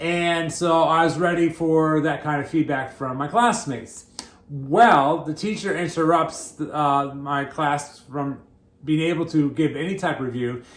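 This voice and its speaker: Speech comes at a fairly slow pace with ordinary pitch variation and audible room echo. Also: man, fairly high pitch for a man. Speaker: pastor. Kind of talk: sermon. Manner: halting, repeats words.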